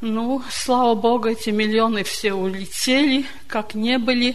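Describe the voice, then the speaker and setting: In a room with audible echo, a woman with a fairly high pitch speaks fairly slowly in a monotone, flat intonation. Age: 70s. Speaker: church member. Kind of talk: testimony.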